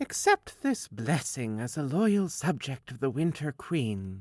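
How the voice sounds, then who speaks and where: Fairly slow and fairly high in pitch, this is a man's voice. He uses a put-on character voice. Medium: read story. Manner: calm, diplomatic.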